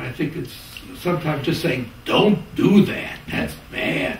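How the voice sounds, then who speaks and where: With an American accent, a man speaks at a high pitch with ordinary pitch variation, amid audible room echo and light background noise. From US Midwest, Chicago. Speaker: sociology professor. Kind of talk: interview. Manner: halting. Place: home room.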